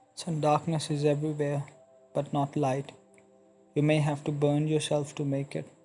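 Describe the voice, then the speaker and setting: With music playing in the background, a man speaks in a flat monotone at a fairly high pitch, leaving long, frequent pauses. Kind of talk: motivational speech; dramatic letter reading. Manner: slow, earnest.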